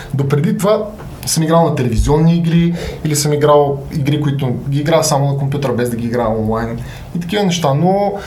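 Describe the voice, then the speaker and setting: A man's fairly high voice with ordinary pitch variation, a fairly quick pace, audible room echo and noticeable background noise. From Bulgaria, Sofia. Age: 30s. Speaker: gamer and content creator. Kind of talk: casual interview.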